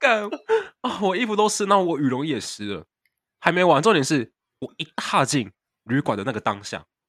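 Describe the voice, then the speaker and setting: Vocal fry from a man at a fairly high pitch, swinging very widely in pitch, in a dry, close sound with no echo. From Taiwan. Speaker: podcast co-host, exchange student. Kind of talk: casual chat. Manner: fast.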